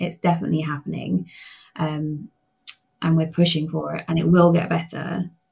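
A somewhat breathy woman's voice with a British accent and a fairly low pitch. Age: 40s. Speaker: patient advocate. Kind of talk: interview.

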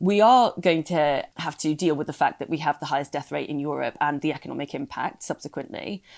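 A woman's fairly low pitch and lively intonation at a moderate pace, on a very clean recording with a silent background. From UK, immigrant family background. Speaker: former political adviser. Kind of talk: casual chat.

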